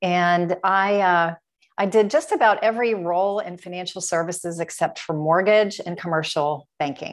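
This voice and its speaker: In an American accent, a woman with a normal speaking voice talks at a moderate pace and a fairly low pitch, with ordinary pitch variation against a quiet background. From US Midwest, Dayton, Ohio. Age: 50s. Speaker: health and wellness business owner. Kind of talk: interview.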